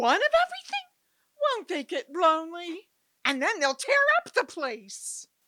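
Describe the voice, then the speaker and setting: A female-sounding put-on character voice, extremely high, swings very widely in pitch. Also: moderate pace. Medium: audio drama.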